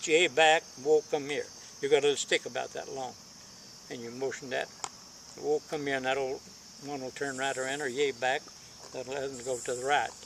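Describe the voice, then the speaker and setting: Noticeable background noise sits behind a man who speaks in an Appalachian accent with a fairly high pitch. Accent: Appalachian Kentucky. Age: 80s+. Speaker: elderly storyteller. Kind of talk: casual chat.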